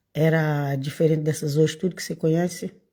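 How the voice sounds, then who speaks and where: This woman's voice is somewhat breathy. She talks fairly quickly. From Brazil, Bahia. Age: 60s. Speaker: evangelical preacher. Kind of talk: casual informal sermon. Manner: halting.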